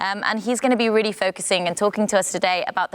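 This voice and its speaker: A woman with a non-native accent, ordinary pitch variation, and a dry, close sound with no echo. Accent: non-Dutch English. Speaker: panel moderator. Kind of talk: panel discussion moderation.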